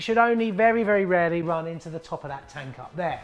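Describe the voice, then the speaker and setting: This man speaks at a very fast pace. His pitch varies in an ordinary way. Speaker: presenter. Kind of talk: tutorial. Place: workshop.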